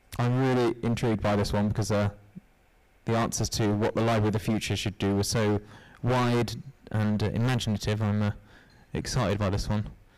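A man with a fairly low pitch talks at a fairly quick pace, leaving long, frequent pauses. His loudness stays very even, and the background is quiet. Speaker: business analyst, university IT; business analyst. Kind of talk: interactive workshop presentation. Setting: stage with audience. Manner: upbeat, jokey. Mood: jokey, upbeat. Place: hall. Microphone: handheld.

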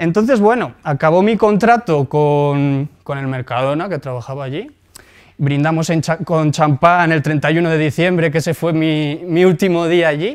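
A man speaks at a fairly slow pace in a fairly high pitch with ordinary pitch variation. The background is quiet. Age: 20s. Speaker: entrepreneur and blogger; blogger. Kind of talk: lecture; conference talk, personal story. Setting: stage with audience. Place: hall.

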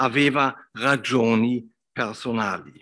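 A man is speaking. He has a German accent. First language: German (speaking Italian). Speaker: professor, literary scholar; professor. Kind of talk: lecture. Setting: academy hall with audience. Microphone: video call.

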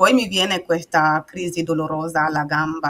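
A woman speaks at a fairly slow pace in a fairly low pitch, her tone bright and sharp and her intonation fairly even. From Burkina Faso. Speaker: patient and author. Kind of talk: personal testimony in interview. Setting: video call. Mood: calm, personal storytelling. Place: home room.

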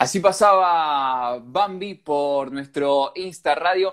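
Ordinary pitch variation shapes a man's speech. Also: quiet background. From Argentina. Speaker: radio host running an Instagram live. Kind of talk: casual live-stream interview. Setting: Instagram live video call. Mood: friendly, playful. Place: home room. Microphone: earbuds.

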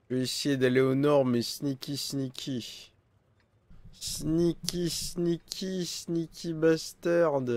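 A man speaks at a very slow pace with ordinary pitch variation. The sound is dry, with no echo. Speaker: gaming streamer. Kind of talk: live gameplay commentary. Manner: animated.

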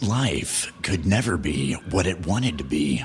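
Putting on a character voice, a man speaks in a dramatic tone with a very deep, low pitch and very wide pitch swings at a fairly slow pace, with clear background noise behind him. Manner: dramatic, gravelly narration.

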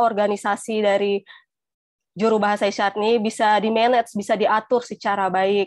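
A woman speaks in a plain, everyday voice, fairly high in pitch and at a moderate pace. The background is quiet and the sound is dry with no echo. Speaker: sign language interpreter; webinar presenter. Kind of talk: panel talk. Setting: video call. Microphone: earbuds.

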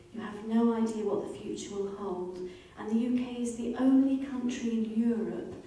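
In a space with strong room echo, a woman speaks at a moderate pace in a dark, mellow tone.

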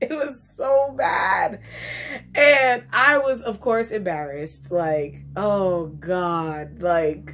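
Very slowly, a woman talks with very wide pitch swings. Her loudness rises and falls in big swings. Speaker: vlogger. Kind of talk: casual vlog chat, storytelling. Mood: animated, embarrassed, playful. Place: home room. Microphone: phone near.

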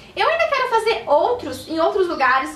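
At a fairly quick pace, a woman talks with audible room echo around her. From Curitiba, southern Brazil; Paraná, Brazil. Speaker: beauty blogger and YouTuber; beauty blogger. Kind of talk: casual vlog announcement. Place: home room. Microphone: camera far.

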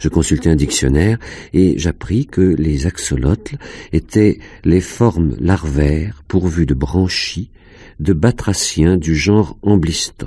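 Pitched very deep and low, a man talks at a fairly slow pace with vocal fry and lively intonation. His tone is intense, and his loudness stays very even. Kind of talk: audiobook reading of a first-person fantastic short story. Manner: slow, hushed, dreamy, intense narration.

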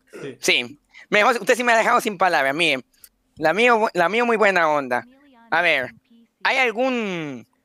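Projecting a raised voice, a man speaks at a high pitch with a bright, sharp tone, very wide pitch swings, a fairly slow pace and long, frequent pauses. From Guatemala. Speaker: dating show contestant. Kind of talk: dating show chat. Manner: formal; energetic.

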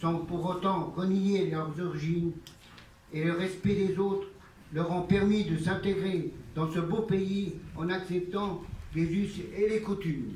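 A man's high-pitched voice, very slow and fairly even in intonation, with audible room echo and light background noise. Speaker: master of ceremonies, local official. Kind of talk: formal ceremonial speech. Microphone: pa.

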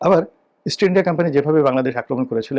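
Using an unremarkable speaking voice, a man talks with ordinary pitch variation. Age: 50s. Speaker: political commentator. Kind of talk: political commentary monologue.

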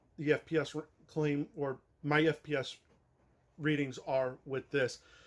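A man is speaking. The background is quiet. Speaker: toy blaster reviewer. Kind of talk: casual review talk. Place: garage. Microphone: camera far.

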